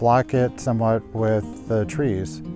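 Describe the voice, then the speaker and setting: Clear music sits in the background as a man speaks at a fairly slow pace. The sound is dry, with no echo. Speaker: nature photography host. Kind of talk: tutorial. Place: open country. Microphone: lapel.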